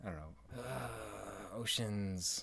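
The man's fairly low voice comes out somewhat breathy. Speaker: podcast host. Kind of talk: casual banter between spouses.

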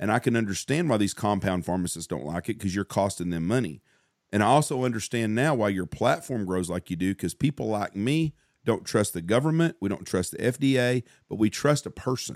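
On a very clean recording with a silent background, a man with a Southern US accent speaks in an animated tone at a fairly low pitch. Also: lively intonation, fairly quick pace. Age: 50s. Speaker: podcast host and hunting outfitter. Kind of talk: casual chat.

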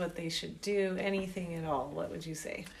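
A woman with an American accent speaks at a medium pitch with fairly even intonation. Room echo is audible. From US South, Georgia. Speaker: podcast host. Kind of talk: casual chat.

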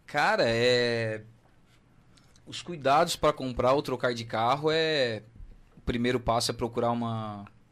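Taking long, frequent pauses, a man speaks at a fairly slow pace with a medium pitch and ordinary pitch variation. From southern Brazil, Santa Catarina. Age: 30s. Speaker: car dealership owner. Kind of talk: radio interview.

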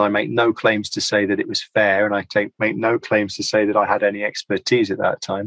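A British accent colors this man's fairly low voice. The sound is dry and close, with no echo. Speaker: linguistics lecturer. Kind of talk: interview. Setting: video call. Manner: fast.

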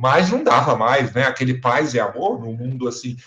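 The man talks with lively intonation. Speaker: theatre director and professor. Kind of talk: casual interview.

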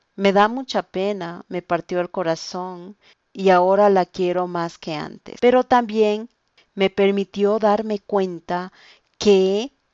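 Woman's medium-pitched voice at a very slow pace. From Ecuador, Quito. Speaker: language teacher. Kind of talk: language-learning podcast monologue.

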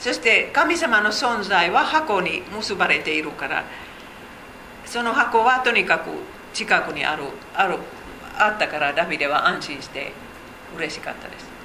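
Over noticeable background noise and audible room echo, a woman with a Finnish accent talks at a moderate pace and fairly high pitch, with very wide pitch swings, big swings in loudness and long, frequent pauses. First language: Finnish (speaking Japanese). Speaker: Bible teacher. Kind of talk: Bible study lecture. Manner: halting.

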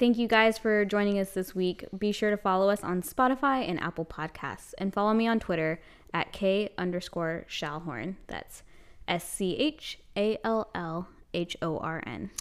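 This very clean recording has a silent background. A woman uses a normal speaking voice at medium pitch and a moderate pace, with ordinary pitch variation. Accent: American. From South Carolina. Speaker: podcast co-host, newspaper editor. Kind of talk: casual chat.

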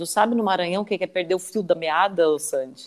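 This woman has a normal speaking voice. Her fairly low pitch rises and falls with lively intonation. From southern Santa Catarina, Brazil. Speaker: radio host. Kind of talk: live interview.

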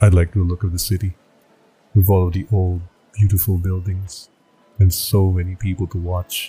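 A man with a very deep, low pitch speaks at a moderate pace in a monotone, flat intonation. Music plays behind him, and he leaves long, frequent pauses. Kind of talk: creepypasta horror narration, first-person scripted storytelling. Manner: tense, dramatic, rising dread toward the end.

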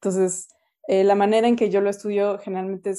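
The intonation is monotone and flat. The tone is dark and mellow. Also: woman. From Mexico City. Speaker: political science professor. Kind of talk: interview. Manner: halting, many fillers.

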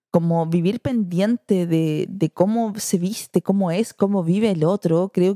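This voice has a dark, mellow tone, a Chilean accent and ordinary pitch variation at a moderate pace. It flows with hardly any pauses at very even loudness, dry and close with no echo. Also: woman. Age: 30s. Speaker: mother and social media influencer. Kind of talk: podcast interview, casual chat.

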